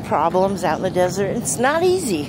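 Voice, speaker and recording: A woman talks at a moderate pace, her pitch swinging very widely. The sound is dry with no echo, though background noise is noticeable. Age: 60s. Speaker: van-life vlogger. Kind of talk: casual vlog talk to camera. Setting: outdoors. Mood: earnest, encouraging. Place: open country.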